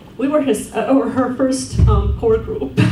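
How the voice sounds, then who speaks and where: There is noticeable background noise and audible room echo. A woman speaks at a fairly slow pace. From Estonia. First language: Estonian. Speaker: award-winning alumna, social work academic. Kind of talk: award acceptance speech. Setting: banquet with audience.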